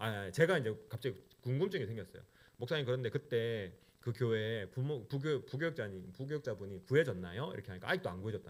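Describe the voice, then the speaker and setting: At a very fast pace, a man with a medium pitch talks with lively intonation and big swings in loudness. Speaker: pastor. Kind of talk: sermon. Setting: church.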